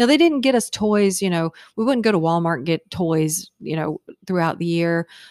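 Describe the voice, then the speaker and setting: In a very clean recording with a silent background and a dry, close sound with no echo, a woman with an American accent and an ordinary speaking voice talks at a moderate pace in a fairly low pitch with lively intonation. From Virginia, Hampton. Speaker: podcast guest, host's mother. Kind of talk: casual chat.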